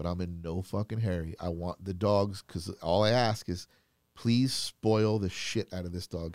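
With an American accent, a man speaks at a very deep, low pitch and a moderate pace with fairly even intonation. The recording is very clean, silent in the background, and dry and close with no echo. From Florida. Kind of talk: casual chat.

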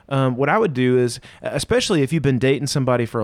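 A man with a normal speaking voice at medium pitch, lively in intonation, at a fairly quick pace. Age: 30s. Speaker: pastor. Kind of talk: casual chat. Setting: video call.

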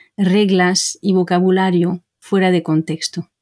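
On a very clean recording with a silent background and a dry, close sound with no echo, a woman with a French accent speaks at a very slow pace. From Brittany, France. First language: French (speaking Spanish). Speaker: language teacher. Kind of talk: interview.

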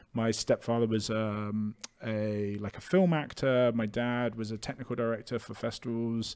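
Speaking in a British accent, a man keeps a fairly even intonation. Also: medium pitch for a man, moderate pace, quiet background. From UK. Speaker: entrepreneur, clothing merchandise founder. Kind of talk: casual chat.

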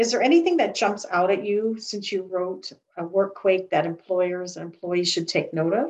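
A woman speaks with an American accent at medium pitch. She has a plain, everyday voice and keeps a moderate pace. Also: ordinary pitch variation. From United States. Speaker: HR podcast host. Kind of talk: interview.

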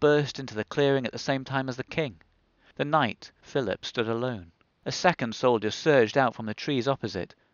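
What comes through is plain reading aloud.

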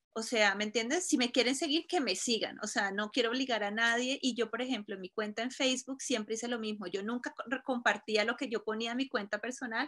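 A woman with a fairly high pitch talks at a fairly quick pace with hardly any pauses and ordinary pitch variation, over noticeable background noise. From Colombia, Cúcuta. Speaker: fashion blogger. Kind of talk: interview.

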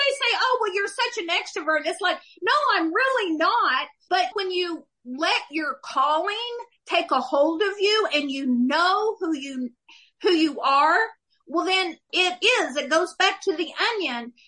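Raising and projecting her voice, a woman with an American accent speaks at a fairly slow pace in an extremely high pitch with very wide pitch swings and a bright, sharp tone. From Oklahoma. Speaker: author and former cafe owner. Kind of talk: casual interview, personal testimony.

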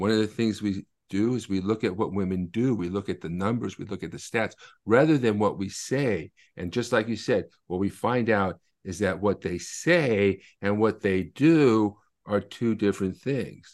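The man has an unremarkable speaking voice with a fairly low pitch. He speaks at a moderate pace with ordinary pitch variation. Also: quiet background. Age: 50s. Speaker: author and attorney. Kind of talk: interview.

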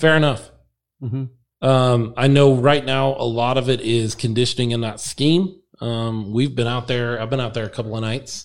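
Fairly even in intonation, a man talks at a moderate pace and medium pitch. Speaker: podcast host. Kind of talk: casual chat. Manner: loud.

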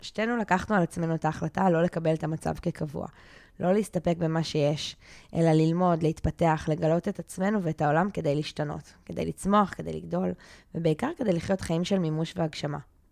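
A woman's plain, everyday voice, fairly low in pitch, at a moderate pace with fairly even intonation, dry and close with no echo, in a very clean recording with a silent background. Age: 30s. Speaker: life coach and podcast co-host. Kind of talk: casual chat; scripted introduction.

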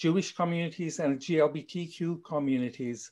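With a South African accent, a man talks in a fairly high pitch and fairly even intonation. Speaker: co-producer and discussion moderator. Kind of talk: panel discussion. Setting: video call. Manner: formal.

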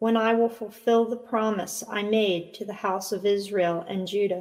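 At a fairly slow pace, a woman with a normal speaking voice speaks at a fairly high pitch with ordinary pitch variation. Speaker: liturgical reader. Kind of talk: scripture reading aloud with responses.

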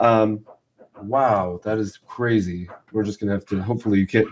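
Speaking with an American accent, a man has an ordinary speaking voice at medium pitch, with ordinary pitch variation and a moderate pace. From Southern California. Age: 40s. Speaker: podcast host. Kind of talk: casual interview.

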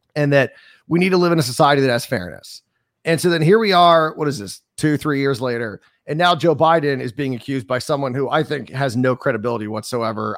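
A man with an American accent and an unremarkable speaking voice, fairly high-pitched, with lively intonation at a fairly quick pace. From US, North Carolina coast. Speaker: radio host. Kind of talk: casual chat. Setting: remote call.

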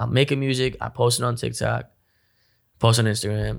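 A man's medium-pitched voice in a New Jersey accent, on a very clean recording with a silent background. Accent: New Jersey American. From North Jersey. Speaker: rapper. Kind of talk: casual chat.

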